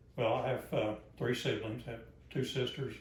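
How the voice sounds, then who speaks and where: Speaking at a moderate pace with a Southern US accent, a man of medium pitch is heard with audible room echo. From US South, Arkansas. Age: 70s. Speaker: grandfather being interviewed. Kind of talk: family interview. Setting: at home, living room.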